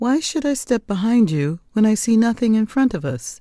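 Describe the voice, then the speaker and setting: In a put-on character voice, a woman uses a gentle tone and very wide pitch swings at a moderate pace. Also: fairly high pitch for a woman. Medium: read story. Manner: gentle, polite.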